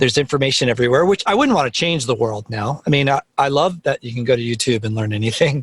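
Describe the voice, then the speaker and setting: At a very fast pace, a man talks in an animated tone at a medium pitch with ordinary pitch variation, the sound dry and close with no echo. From New Jersey (Teaneck). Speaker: music producer. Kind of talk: casual interview chat. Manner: loud.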